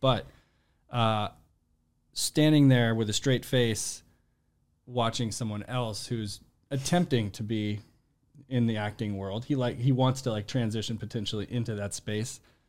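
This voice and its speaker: Pausing long and often, a man of medium pitch talks at a fairly slow pace with fairly even intonation. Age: 30s. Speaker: podcast producer and actor. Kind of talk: casual chat.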